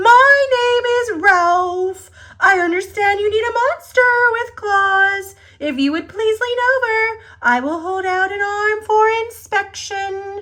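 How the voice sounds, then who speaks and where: A woman's squeaky, extremely high put-on character voice at a fairly slow pace. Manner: polite, smooth.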